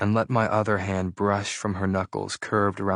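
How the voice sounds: A natural reading voice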